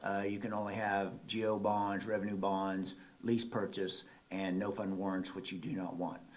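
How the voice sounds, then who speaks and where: With an American accent, a man speaks over noticeable background noise and audible room echo. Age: 60s. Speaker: auditor. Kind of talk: presentation. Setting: city council meeting. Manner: conversational.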